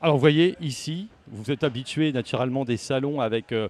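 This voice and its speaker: The sound is dry and close with no echo as a man speaks at a moderate pace with ordinary pitch variation. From Le Havre, Normandy, France. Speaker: radio host. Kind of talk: radio interview. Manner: halting.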